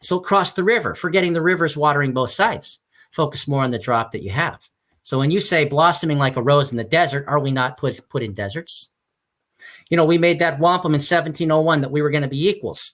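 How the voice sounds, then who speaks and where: On a very clean recording with a silent background, a man speaks at a very fast pace in a fairly high pitch with ordinary pitch variation. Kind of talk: interview. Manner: loud; passionate, halting repetitions.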